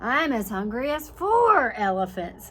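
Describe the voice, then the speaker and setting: Doing a put-on character voice, a woman speaks high in pitch with very wide pitch swings at a fairly slow pace. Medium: read story.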